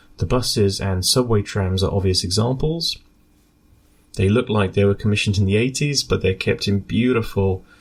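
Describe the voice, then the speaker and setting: With a British accent, a man speaks at a fairly low pitch, somewhat breathy, with ordinary pitch variation. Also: very even loudness. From UK. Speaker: scientist and radio amateur board member. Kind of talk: prepared statement for radio news broadcast.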